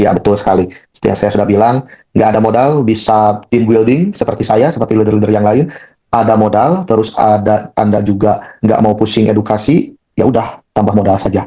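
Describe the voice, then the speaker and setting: Speaking at a very fast pace, a man with a fairly low pitch sounds animated. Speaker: crypto staking promoter hosting a Zoom session. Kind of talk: online presentation and Q&A. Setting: video call.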